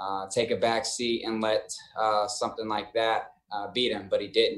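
At a moderate pace, a man talks in a medium-pitched voice with monotone, flat intonation. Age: 20s. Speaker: professional football player. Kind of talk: interview.

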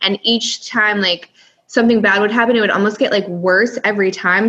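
Against noticeable background noise, a woman with an American accent talks very fast with fairly even intonation. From US, California and upstate New York. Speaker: former adult film performer and content creator. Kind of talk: casual interview chat.

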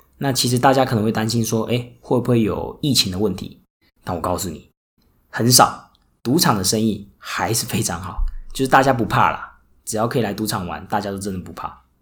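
A man's somewhat breathy, medium-pitched voice at a fairly quick pace. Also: ordinary pitch variation. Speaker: podcast host and casino worker. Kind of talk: solo podcast monologue. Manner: many filler words.

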